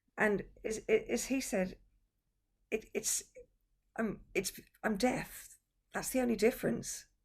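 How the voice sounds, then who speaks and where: Pitched fairly high and somewhat breathy, a woman speaks at a very slow pace with long, frequent pauses and ordinary pitch variation. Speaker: interviewer. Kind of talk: casual online conversation. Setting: video call.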